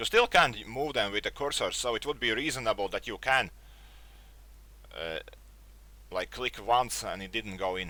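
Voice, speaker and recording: A man with a non-native accent speaks at a moderate pace with long, frequent pauses. The recording is very clean, with a silent background. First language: not English. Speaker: tech youtuber. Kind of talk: casual review monologue. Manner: halting, searches for words.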